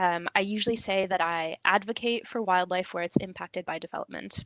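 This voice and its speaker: Against a quiet background with a dry, close sound and no echo, a woman with a plain, everyday voice and an American accent talks at a moderate pace and medium pitch with ordinary pitch variation. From USA. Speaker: conservation planning officer, webinar speaker. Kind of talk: webinar presentation. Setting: online webinar.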